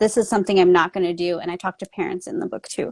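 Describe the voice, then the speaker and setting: She has a plain, everyday voice with an American accent and a medium pitch. The woman's pitch variation is ordinary, and the sound is dry and close with no echo. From US, Mexican American family. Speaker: author and trauma coach. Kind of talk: casual interview chat.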